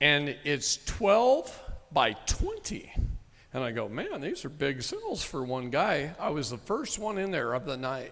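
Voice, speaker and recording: Here is an unremarkable speaking voice from a man with an American accent and a fairly high pitch. He speaks at a fairly slow pace with lively intonation. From Texas. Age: 50s. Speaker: sovereign citizen movement speaker. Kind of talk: live seminar talk with storytelling.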